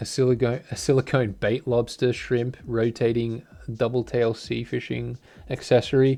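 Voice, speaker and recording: The speaker has an Australian accent and a dark, mellow tone. The pace is moderate, and the intonation is monotone and flat. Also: man, medium pitch for a man. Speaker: fishing tackle reviewer. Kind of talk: product review. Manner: casual, hesitant with many fillers.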